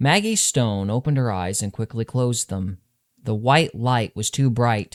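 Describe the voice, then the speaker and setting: This man has an unremarkable speaking voice, with ordinary pitch variation at a moderate pace. The recording is very clean, with a silent background. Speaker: author reading his own novel. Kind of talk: audiobook narration of urban fantasy fiction.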